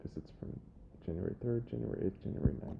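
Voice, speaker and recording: The man speaks in a whisper. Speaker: software trainer. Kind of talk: tutorial. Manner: quiet.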